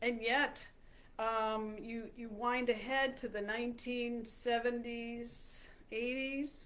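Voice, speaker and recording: A woman's high voice in a flat monotone, very slow, with audible room echo. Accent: American. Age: 60s. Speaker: health coach. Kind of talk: talk to camera. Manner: halting, many fillers.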